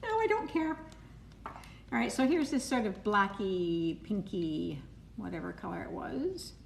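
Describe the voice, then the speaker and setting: Against noticeable background noise, a woman with a Canadian accent talks fairly slowly, with long, frequent pauses. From Canada, Toronto area. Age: 70s. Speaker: cake decorator. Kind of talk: live-stream tutorial. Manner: casual, chatty.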